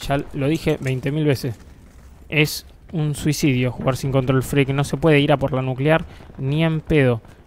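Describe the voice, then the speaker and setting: Someone speaks with a Rioplatense accent. The pace is fairly slow. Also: man, fairly high pitch for a man. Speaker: gaming youtuber. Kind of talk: gameplay commentary. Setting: home bedroom. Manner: animated.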